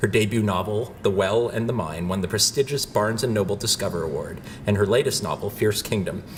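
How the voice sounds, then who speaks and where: A man with a fairly low voice speaks with hardly any pauses over noticeable background noise. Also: ordinary pitch variation, fairly quick pace. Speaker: professor. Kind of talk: speaker introduction.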